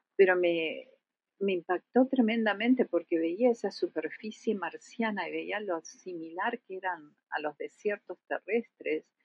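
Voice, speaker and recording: A woman with an Argentine accent speaks with ordinary pitch variation. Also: medium pitch for a woman, fairly slow pace. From Argentina. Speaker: planetary scientist. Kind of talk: interview.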